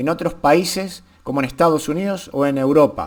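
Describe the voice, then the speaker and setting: A man talks at a fairly slow pace. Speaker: YouTuber, political commentator. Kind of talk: casual vlog commentary. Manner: halting, repetitive.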